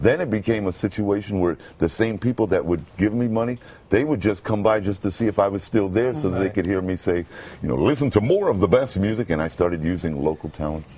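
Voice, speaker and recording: Over noticeable background noise, a man with a resonant voice talks at a fairly quick pace with hardly any pauses and ordinary pitch variation. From Brooklyn, United States. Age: 50s. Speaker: homeless man turned radio announcer. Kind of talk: interview answer.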